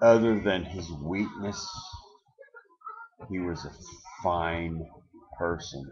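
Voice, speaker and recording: Speaking at a very slow pace with long, frequent pauses, a man's very deep, low voice stays fairly even in intonation against audible room echo. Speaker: self-declared presidential candidate. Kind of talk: webcam monologue. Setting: webcam recording. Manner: slurred-sounding.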